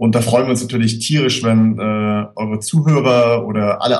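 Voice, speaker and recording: A man speaks in a normal speaking voice at medium pitch. His pace is moderate and his intonation fairly even. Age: 20s. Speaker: screenwriter. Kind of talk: casual chat.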